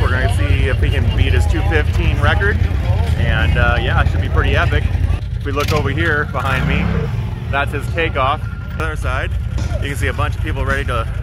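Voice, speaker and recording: A man talks fairly quickly in a dry sound with no echo while loud background noise plays. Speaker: vlogger host. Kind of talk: casual vlog chat. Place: open country. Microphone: phone near.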